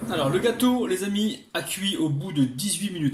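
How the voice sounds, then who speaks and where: A man with a southwestern French accent, an animated tone and lively intonation, with audible room echo and noticeable background noise. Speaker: cooking youtuber. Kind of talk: tutorial.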